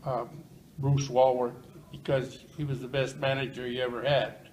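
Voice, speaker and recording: A man talks at a moderate pace and medium pitch, with audible room echo and noticeable background noise around him. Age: 80s+. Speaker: retired plumber. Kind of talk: interview. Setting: senior living residence. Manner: loud.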